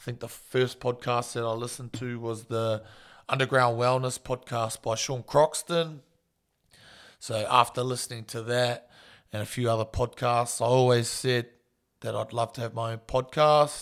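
The speaker has a New Zealand accent and a monotone, flat intonation, moving at a moderate pace. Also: man, medium pitch for a man, very clean recording, silent background. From New Zealand, small town. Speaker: strength and conditioning coach, podcast host. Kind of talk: solo podcast intro monologue. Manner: casual, relaxed.

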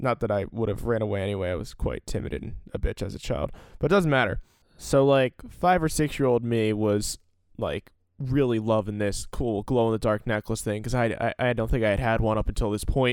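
With a normal speaking voice and an American accent, a man talks at a fairly quick pace in a medium pitch with ordinary pitch variation, the sound dry and close with no echo on a very clean recording with a silent background. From US Northeast, Salem County, New Jersey. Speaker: podcast host. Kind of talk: solo storytelling podcast. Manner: casual, filler-heavy.

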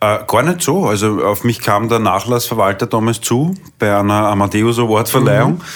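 Speaking in a Viennese accent, a man keeps his loudness very even. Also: medium pitch for a man, ordinary pitch variation, moderate pace. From Vienna, Austria. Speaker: singer. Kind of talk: interview.

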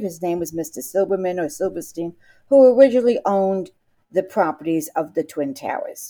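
With a New York accent, a woman talks in a dark, mellow tone with lively intonation. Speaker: interviewee, teacher who lost students on 9/11. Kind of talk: interview testimony.

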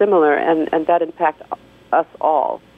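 A woman has an unremarkable speaking voice with a fairly low pitch. She talks at a moderate pace. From DR Congo, raised in the US from primary school. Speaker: women's rights advocate. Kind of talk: radio interview. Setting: phone call.

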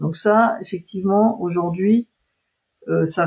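Her voice sits at a medium pitch with fairly even intonation. The woman sounds somewhat breathy. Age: 50s. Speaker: computer science research engineer. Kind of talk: interview.

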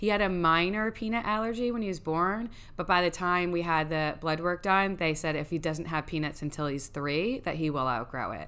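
Loud and bright with a sharp tone, a woman talks at a fairly quick pace with hardly any pauses. Her pitch is fairly low, with ordinary pitch variation. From New York. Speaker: guest sharing parenting experience. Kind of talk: casual chat.

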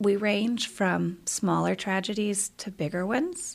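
A woman with vocal fry speaks at a medium pitch in a very clean recording with a silent background. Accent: American. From US South, Columbia, South Carolina. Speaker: high school English teacher. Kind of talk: casual interview. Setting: studio basement.

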